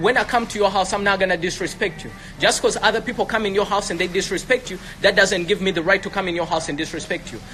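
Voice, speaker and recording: A man with an American accent talks at a very fast pace in a raised, projected voice, pitched high and with an animated tone. Music plays in the background. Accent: African accent, can switch to American. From Africa. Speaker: entrepreneur. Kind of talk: heated debate.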